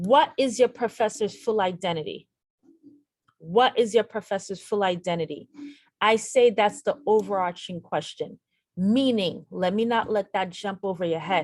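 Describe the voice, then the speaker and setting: At a moderate pace, a woman with an ordinary speaking voice talks at medium pitch with ordinary pitch variation. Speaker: nurse educator. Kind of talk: tutorial.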